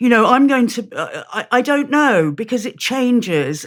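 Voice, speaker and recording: Speaking at a moderate pace with lively intonation, a woman with a British accent comes through on a very clean recording with a silent background. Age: 60s. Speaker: campaigner and author. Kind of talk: conversational interview. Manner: halting.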